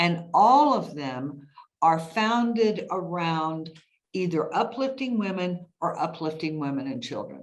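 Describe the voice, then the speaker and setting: A woman's fairly low voice at a fairly slow pace, with very wide pitch swings and audible room echo. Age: 60s. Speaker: podcast host. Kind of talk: interview conversation. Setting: podcast interview.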